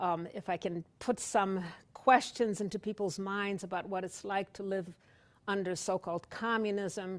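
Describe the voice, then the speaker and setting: A woman talks at a fairly slow pace. She has an American accent. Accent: Polish-tinged accent, noticed in Wisconsin. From Poland. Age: 60s. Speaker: author, retired law professor. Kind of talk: author talk. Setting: library event with audience. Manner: hesitant, many fillers.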